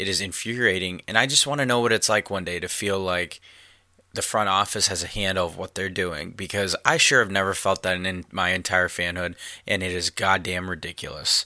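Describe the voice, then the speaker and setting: A man speaks in a very deep, low pitch with a bright, sharp tone. His delivery is fairly quick, angry and animated. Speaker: podcast host. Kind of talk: angry sports rant. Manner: angry, ranting, profane; animated, opinionated.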